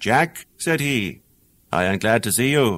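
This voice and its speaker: This is a man speaking. He has an Irish accent. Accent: Irish brogue. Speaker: actor. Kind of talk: audiobook fairy tale reading.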